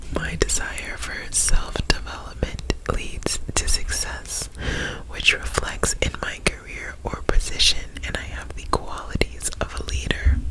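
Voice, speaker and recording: The speaker whispers at a fairly slow pace. Background noise is noticeable. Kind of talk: ASMR reading and rambling. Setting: close to the microphone. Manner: whispered, soft-spoken.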